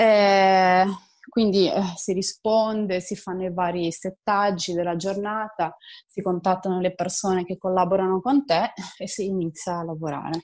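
With an ordinary speaking voice, a woman talks at a medium pitch and fairly slow pace with fairly even intonation, on a very clean recording with a silent background. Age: 20s. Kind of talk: interview.

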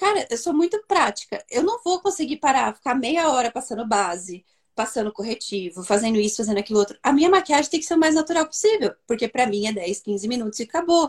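Her pitch swinging very widely, a woman speaks at a fairly quick pace in a dry, close sound with no echo. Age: young. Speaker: therapist. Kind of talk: live online chat.

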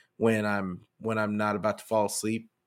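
The recording is very clean and the background is silent. A man speaks at a moderate speed. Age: 40s. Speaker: sports podcast host. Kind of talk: casual live-stream commentary. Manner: halting, many fillers and restarts.

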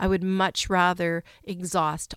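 A woman speaks slowly-ish, at a fairly slow pace, with a fairly low pitch and monotone, flat intonation on a very clean recording with a silent background. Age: 50s. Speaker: podcast host and cafe owner. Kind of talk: casual monologue. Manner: hesitant, with fillers.

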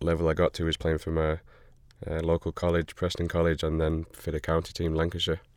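A man with an American accent and a very deep, low pitch speaks in a flat monotone at a fairly quick pace. The recording is very clean, with a silent background. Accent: northern English with slight American twang. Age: 30s. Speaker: professional soccer player. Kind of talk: casual chat. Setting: studio.

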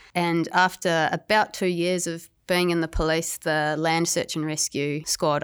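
With a New Zealand accent, a woman talks at a moderate pace in a very deep, low pitch and fairly even intonation, on a very clean recording with a silent background. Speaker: police officer, former dolphin trainer. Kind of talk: interview.

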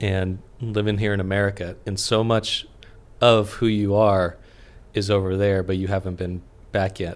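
A man speaks at a moderate pace in a normal speaking voice, his pitch fairly low. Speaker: podcast host. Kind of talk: casual interview conversation. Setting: studio. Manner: excitable.

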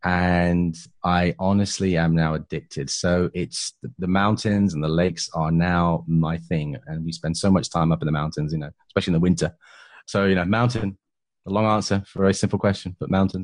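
A man with a very deep, low voice and a British accent talks at a fairly quick pace. His intonation is fairly even, and the background is quiet. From England. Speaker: property entrepreneur and podcaster. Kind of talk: interview conversation.

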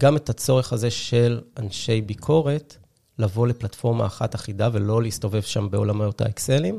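Speaking at a moderate pace, a man with a medium pitch has a dark, mellow, somewhat breathy tone and ordinary pitch variation. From Israel, Haifa. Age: 30s. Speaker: tech startup co-founder. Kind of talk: interview. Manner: halting, many fillers.

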